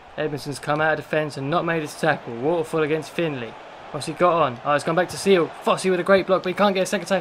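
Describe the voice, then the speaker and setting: Through noticeable background noise, a man with a fairly high pitch talks at a very fast pace. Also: ordinary pitch variation. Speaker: gaming youtuber. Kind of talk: gameplay commentary. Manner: animated.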